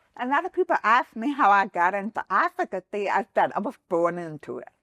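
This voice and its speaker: The speaker talks at a fairly quick pace with an American accent, in a bright, sharp tone with very wide pitch swings and big swings in loudness. The sound is dry and close with no echo, over a quiet background. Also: woman, medium pitch for a woman. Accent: deaf. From Texas. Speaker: accessibility advocate and business founder. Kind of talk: podcast interview. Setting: studio.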